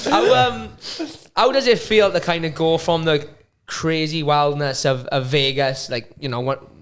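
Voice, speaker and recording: A man with a Welsh accent speaks at a fairly high pitch. He goes at a fairly slow pace with ordinary pitch variation. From Wales. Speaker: podcast host. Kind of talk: podcast interview.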